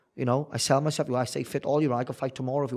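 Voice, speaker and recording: Man with a South Wales accent at a medium pitch, talking at a very fast pace with fairly even intonation, on a very clean recording with a silent background. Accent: South Wales valleys. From Wales, the valleys. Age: 30s. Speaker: bare-knuckle boxer. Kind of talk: interview.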